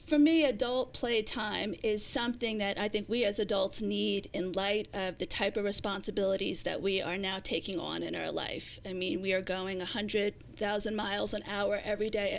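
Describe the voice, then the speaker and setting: A woman with an American accent and vocal fry speaks at a moderate pace with hardly any pauses, her medium pitch showing ordinary variation. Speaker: YouTube cooking personality. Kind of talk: casual interview.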